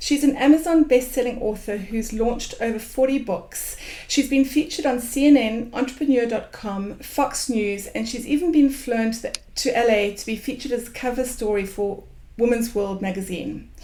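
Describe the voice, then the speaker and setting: A woman speaks with a high pitch at a moderate pace. Her pitch varies an ordinary amount. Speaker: web show host. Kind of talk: show introduction.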